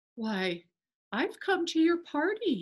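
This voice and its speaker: Squeaky put-on character voice at an extremely high pitch, with very wide pitch swings. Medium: read story.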